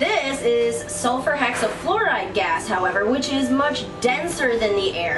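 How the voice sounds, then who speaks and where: Against noticeable background noise, a woman talks at a fairly slow pace in a high pitch with lively intonation. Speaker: science show presenter. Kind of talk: science demonstration presentation. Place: garage. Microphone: camera far.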